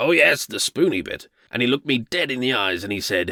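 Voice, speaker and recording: Using a raspy, put-on character voice, a man talks at a fairly quick pace with a medium pitch and very wide pitch swings. The sound is dry and close, with no echo. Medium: audio drama. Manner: rambling, forgetful, tangential.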